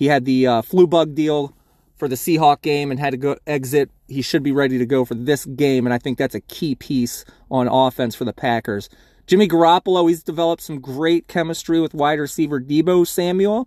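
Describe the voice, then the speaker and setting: A man with a normal speaking voice talks at a fairly quick pace and a fairly high pitch with ordinary pitch variation, in a dry, close sound with no echo and a very clean recording with a silent background. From US Mid-Atlantic, Baltimore. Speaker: fantasy football podcaster. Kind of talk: solo sports preview. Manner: casual, conversational.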